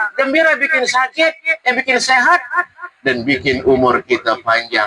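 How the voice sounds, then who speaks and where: Speaking at a moderate pace, a man raises and projects his voice. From North Sumatra, Indonesia (Teluk Nibung, Tanjung Balai; later Dumai, Riau). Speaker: Islamic preacher. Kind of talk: religious talk at community iftar. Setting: community gathering at a cafe restaurant. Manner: animated, conversational.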